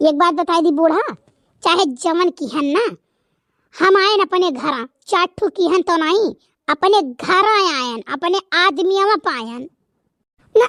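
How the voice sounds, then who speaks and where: In a cartoonish character voice, a woman speaks at an extremely high pitch with lively intonation, a fairly slow pace and long, frequent pauses, all in a dry, close sound with no echo. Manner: bold, defiant.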